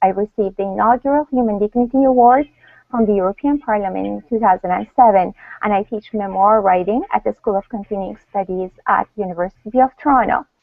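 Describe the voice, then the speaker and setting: Speaking very fast with a Russian accent, a woman uses a medium pitch and ordinary pitch variation. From Iran. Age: 40s. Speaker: panel moderator and author. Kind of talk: panel introduction. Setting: online video hangout.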